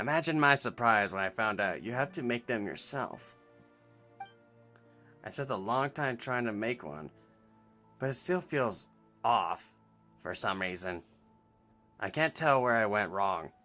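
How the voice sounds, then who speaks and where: A man speaks in a nasal, put-on character voice at medium pitch and a moderate pace. He leaves long, frequent pauses while faint music plays in the background. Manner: mimicking a voice actor's tone.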